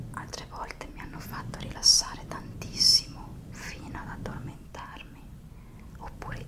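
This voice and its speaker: A woman is whispering at a moderate pace. Noticeable background noise sits behind her. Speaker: ASMR content creator. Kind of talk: ASMR whispering talk to camera. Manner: whispered, soft-spoken.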